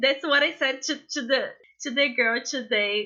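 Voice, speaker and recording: A woman with a non-native accent talks fairly slowly in a high voice, her pitch varying in an ordinary way. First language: not English. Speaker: social startup founder. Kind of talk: podcast interview. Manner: halting.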